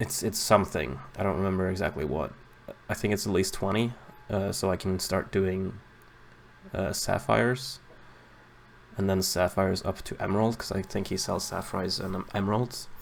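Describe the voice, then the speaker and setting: A man mumbles at a moderate pace in a very deep, low voice with vocal fry. Long pauses come often. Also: ordinary pitch variation. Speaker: gaming video creator. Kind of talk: gameplay commentary. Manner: mumbling; halting.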